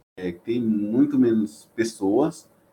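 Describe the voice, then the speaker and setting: Speaking at a very slow pace, a man uses a dark, mellow tone. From Bahia interior, Brazil (Chapada Diamantina). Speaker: biotechnology student and research intern. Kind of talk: casual interview chat.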